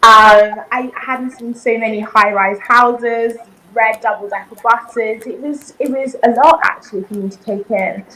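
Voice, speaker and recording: Over noticeable background noise, a woman with a British accent speaks at a moderate pace and a fairly high pitch, her intonation fairly even but her loudness swinging widely. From southern Africa, raised in the UK from childhood. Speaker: reality TV competitor. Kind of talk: interview.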